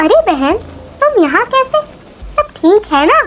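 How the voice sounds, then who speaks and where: This woman uses a cartoonish character voice, squeaky and extremely high-pitched. Her pitch swings very widely at a moderate pace. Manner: warm, sisterly.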